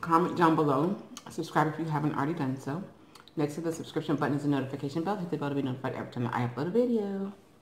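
Amid audible room echo and light background noise, a woman speaks at a very fast pace with a very deep, low pitch and ordinary pitch variation. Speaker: eating vlogger. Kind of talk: casual vlog chat. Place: home room. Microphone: phone near.

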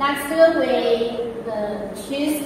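This is a woman speaking in a room with strong echo. Noticeable background noise runs underneath. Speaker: product demonstrator. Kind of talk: tutorial. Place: workshop. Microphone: camera far.

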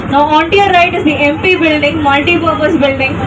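A woman's high-pitched voice in a flat monotone, with noticeable background noise. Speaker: bus tour guide. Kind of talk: tour guide commentary over bus speaker, rattling off memorized spiel in English. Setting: moving tour bus, PA system.

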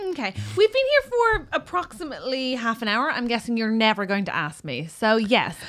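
A woman speaks at a fairly high pitch and a fairly quick pace. Her pitch swings very widely. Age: 30s. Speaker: comedy podcast co-host; podcast co-host. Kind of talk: casual chat. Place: studio. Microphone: studio mic.

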